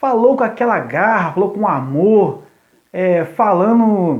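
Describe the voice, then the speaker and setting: A man with a high pitch and lively intonation. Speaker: youth pastor. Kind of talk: live stream talk to church youth. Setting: live stream from phone. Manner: deliberately slow, paced. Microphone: phone connection lagging.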